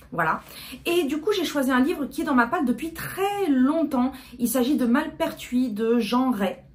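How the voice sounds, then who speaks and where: Over noticeable background noise, a woman speaks at a fairly slow pace. Her high-pitched voice has lively intonation. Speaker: book youtuber. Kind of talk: casual vlog talk. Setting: at home, fan and AC off. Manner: hesitant, many fillers.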